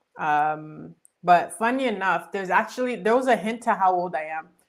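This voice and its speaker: An ordinary speaking voice with ordinary pitch variation, delivered at a moderate pace. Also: woman. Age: 20s. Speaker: live streamer, channel host. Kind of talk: casual chat.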